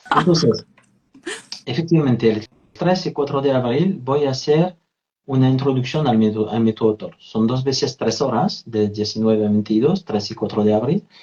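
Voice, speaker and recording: A man's dark, mellow, somewhat breathy voice with lively intonation. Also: medium pitch for a man, moderate pace. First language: French (speaking Spanish). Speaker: therapist and trainer. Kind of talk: interview, live video conversation.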